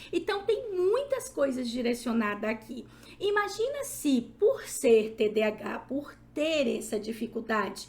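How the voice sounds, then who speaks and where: In a room with audible echo, a woman speaks at a fairly slow pace in an animated tone. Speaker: psychologist and lecturer. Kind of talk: lecture.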